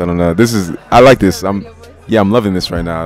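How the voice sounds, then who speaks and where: A man with a fairly low voice talks over music playing in the background. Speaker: vlogger addressing viewers.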